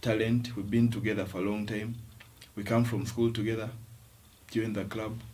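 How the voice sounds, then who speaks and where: A man speaks softly at a medium pitch, somewhat breathy. His intonation stays fairly even. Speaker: rugby player. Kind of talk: interview answer. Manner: soft-spoken.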